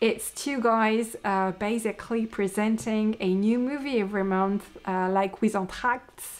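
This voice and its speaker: A woman in a French accent, fairly high-pitched, with fairly even intonation, a fairly slow pace and hardly any pauses. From France. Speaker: podcaster, knitter and yarn dyer. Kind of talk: casual podcast monologue. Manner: hesitant, many fillers.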